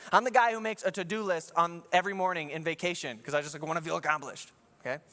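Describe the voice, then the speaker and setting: Speaking at a very fast pace, a man with a fairly high pitch sounds bright and sharp, with an animated tone and lively intonation. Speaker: pastor. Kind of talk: sermon.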